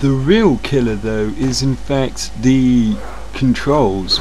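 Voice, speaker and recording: There is noticeable background noise. Through it, a man talks at a very slow pace. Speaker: video game reviewer. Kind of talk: casual game review to camera.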